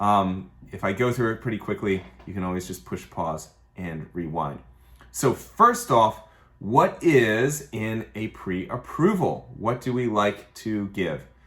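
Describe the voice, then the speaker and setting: An ordinary speaking voice from a man, fairly low in pitch, fairly slow, with lively intonation. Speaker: mortgage lender. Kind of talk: tutorial. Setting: office. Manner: casual.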